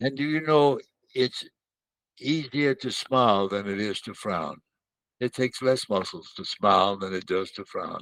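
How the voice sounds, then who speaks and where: Against a quiet background, a man with a Southern US accent talks at a fairly slow pace and medium pitch, with ordinary pitch variation and a dry, close sound with no echo. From Mississippi, US South. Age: 100s; 80s+. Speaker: war veteran and children's author. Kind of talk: interview. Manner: halting.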